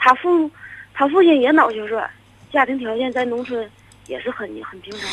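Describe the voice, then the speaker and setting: Loudness rises and falls sharply at a moderate pace. Long pauses come often, over noticeable background noise. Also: woman, high pitch for a woman, ordinary pitch variation. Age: 30s. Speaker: caller. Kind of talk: phone-in confession. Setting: phone call.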